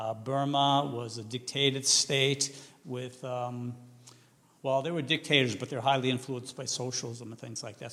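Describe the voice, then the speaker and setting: A man with a Massachusetts accent speaks at a medium pitch and a moderate pace, his loudness swinging widely. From New England, Massachusetts. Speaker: missionary and seminary teacher. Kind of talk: vision-casting talk to a church team. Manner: halting with many fillers; loud and enthusiastic.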